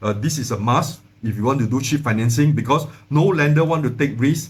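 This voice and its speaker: Audible room echo surrounds a somewhat breathy voice. The pace is fairly quick, with ordinary pitch variation. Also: man. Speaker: finance educator, channel owner. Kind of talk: tutorial. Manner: fast; halting, many fillers and repeats.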